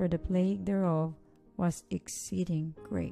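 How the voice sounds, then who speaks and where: A soft-spoken woman at a fairly low pitch, fairly slow and fairly even, with music in the background. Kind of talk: scripture reading.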